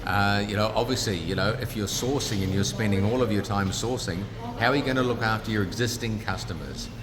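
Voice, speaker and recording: A man's fairly low voice with a New Zealand accent, ordinary pitch variation and a fairly quick pace, with audible room echo and noticeable background noise. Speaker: business founder. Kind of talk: interview. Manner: casual, conversational.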